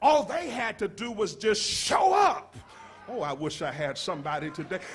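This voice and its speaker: A man with a high pitch speaks loudly in an animated tone. Room echo can be heard. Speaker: pastor. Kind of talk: sermon. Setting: church.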